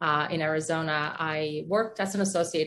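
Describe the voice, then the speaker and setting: With a Polish accent, a woman speaks in a very deep, low pitch using fairly even intonation. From Poland. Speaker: orthodontist, business owner. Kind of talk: casual interview.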